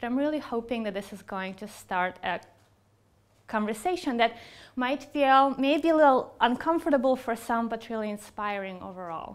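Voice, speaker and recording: With a Russian accent, a woman speaks at a moderate pace in a fairly high pitch, her intonation lively and her loudness swinging widely, in a very clean recording with a silent background. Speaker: psychologist and researcher. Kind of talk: keynote speech.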